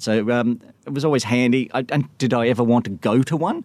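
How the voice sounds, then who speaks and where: A speaker with an Australian accent talks at a moderate pace with ordinary pitch variation on a very clean recording with a silent background. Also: man. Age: 40s. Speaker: stay-at-home dad who live-tweeted government press conferences. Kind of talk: interview.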